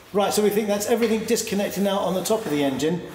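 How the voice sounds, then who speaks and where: A man speaks at a very fast pace while noticeable background noise carries on. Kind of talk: casual commentary. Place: garage.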